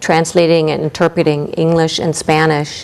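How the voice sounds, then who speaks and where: Her voice is fairly low in pitch for a woman. She speaks with a slight German accent. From East Germany. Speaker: ESL college instructor. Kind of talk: interview. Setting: TV studio.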